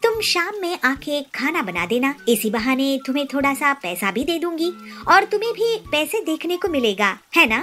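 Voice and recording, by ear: Over faint music in the background, a woman does a put-on character voice that is high, bright and sharp, with big pitch swings at a moderate pace.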